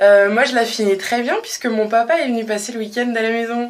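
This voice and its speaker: A woman's high voice with audible room echo and noticeable background noise. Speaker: vlogger. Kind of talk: casual vlog monologue. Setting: home bathroom. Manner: hesitant, many fillers.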